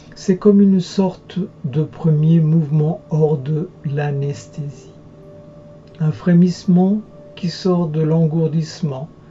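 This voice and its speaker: Over music in the background, a soft-spoken man talks very slowly at a fairly high pitch, with fairly even intonation and long, frequent pauses. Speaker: hypnotherapist. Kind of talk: guided hypnosis session.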